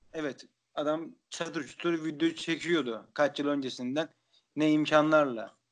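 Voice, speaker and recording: Against a quiet background, a man speaks very slowly at a fairly high pitch with ordinary pitch variation. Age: 20s. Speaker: podcast host. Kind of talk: casual chat.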